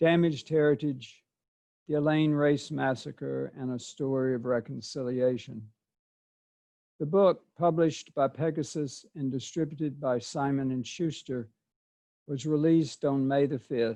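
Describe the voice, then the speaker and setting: A man with an American accent, fairly high pitch, a dark, mellow tone, fairly even intonation and a fairly slow pace against a quiet background. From US South, southeast Arkansas. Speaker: author and poet. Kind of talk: prepared presentation. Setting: video call.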